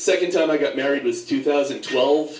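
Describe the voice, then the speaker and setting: A man speaks very fast with a New York accent. Audible room echo and noticeable background noise fill the recording. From New York, Staten Island. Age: 60s. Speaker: comedian. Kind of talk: stand-up.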